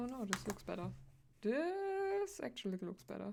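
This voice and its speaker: A woman with a non-native accent, at a fairly slow pace. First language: not English. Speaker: streamer, digital artist. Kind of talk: casual live-stream chat while drawing. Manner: halting, many fillers.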